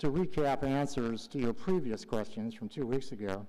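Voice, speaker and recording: In audible room echo, a man with a dark, mellow tone and medium pitch talks fairly slowly with lively intonation. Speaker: public commenter, retired health charity executive. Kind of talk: public comment at council meeting.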